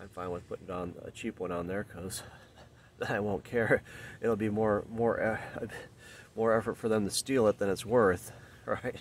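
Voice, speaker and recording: Recorded dry with no echo and light background noise, a man talks at a moderate pace with fairly even intonation. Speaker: car owner vlogger. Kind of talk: casual vlog chat. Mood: wry, mildly frustrated. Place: street. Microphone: phone near.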